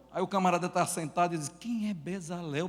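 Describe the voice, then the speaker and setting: A high-pitched man with a northeastern Brazilian accent, at a moderate pace with ordinary pitch variation. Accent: Brazilian Northeastern accent, noticeable. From Northeast Brazil. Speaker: pastor and church planter. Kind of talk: conference talk.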